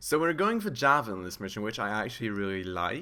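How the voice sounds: Lively intonation marks this man's fairly low-pitched voice, which carries vocal fry. His tone is bright and sharp, yet clear and smooth.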